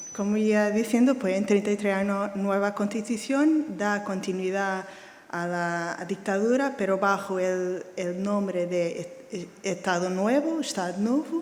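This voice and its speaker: A woman speaks at medium pitch and a fairly slow pace with ordinary pitch variation. There is noticeable background noise and audible room echo. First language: Portuguese (speaking Spanish). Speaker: art historian. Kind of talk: lecture. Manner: reading slowly.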